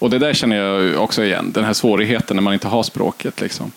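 Noticeable background noise sits behind a man speaking with a fairly low pitch. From northern Sweden, Kiruna area. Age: 30s. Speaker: podcast host. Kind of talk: interview. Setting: festival stage with live audience.

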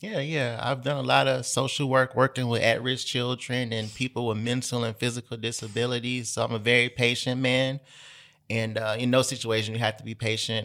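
A man with a Memphis accent talks at a fairly quick pace in a medium pitch, his bright, sharp tone held to a monotone, flat intonation. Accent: Southern US (Memphis). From Memphis, Tennessee. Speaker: journalist and writer. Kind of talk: casual chat.

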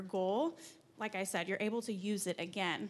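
This woman has an unremarkable speaking voice, with medium pitch, ordinary pitch variation and a moderate pace. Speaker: digital marketing strategist. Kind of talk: conference presentation. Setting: stage with audience.

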